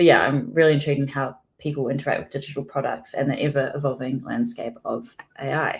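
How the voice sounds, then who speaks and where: A woman with a slight New Zealand accent talks at a very fast pace in a very deep, low pitch, her delivery monotone and flat and somewhat breathy. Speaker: product designer. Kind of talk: conference talk.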